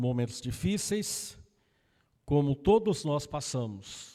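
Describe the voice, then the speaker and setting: A man talks at a very slow pace in a very clean recording with a silent background. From Brazil, interior of Paraná (Loanda, Maringá region). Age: 60s. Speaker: evangelist preacher. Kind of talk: personal introduction to congregation; sermon. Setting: church service.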